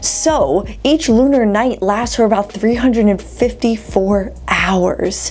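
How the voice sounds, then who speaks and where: This is a woman speaking. Her pace is fairly slow. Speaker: science video host. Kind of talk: explainer narration. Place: home room.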